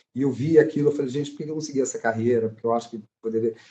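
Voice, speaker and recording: The speaker is a man whose pitch sits in the medium range. His voice has a dark, mellow tone. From Brasília, Brazil. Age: 50s. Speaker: actor. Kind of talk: casual chat. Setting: live stream.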